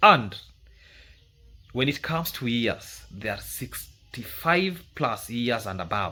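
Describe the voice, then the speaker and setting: A man speaks with a Kenyan accent at a medium pitch. His pace is fairly slow. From Kenya, rural village. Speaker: YouTube commentator. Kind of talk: commentary monologue.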